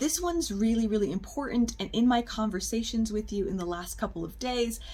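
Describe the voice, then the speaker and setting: A woman at a fairly quick pace, with audible room echo. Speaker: public speaking teacher. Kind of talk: recorded lecture for students.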